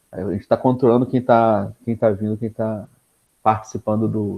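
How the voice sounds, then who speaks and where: A man at a fairly slow pace. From Brazil, Niterói (Rio de Janeiro state). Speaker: PhD researcher, speaker. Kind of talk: lecture. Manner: casual with many fillers and repetitions.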